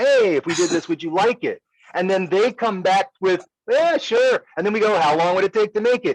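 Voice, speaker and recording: A man speaks loudly at a moderate pace, his high pitch moving with lively intonation. The sound is dry and close, with no echo. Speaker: business owner discussing company technology. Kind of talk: casual business discussion.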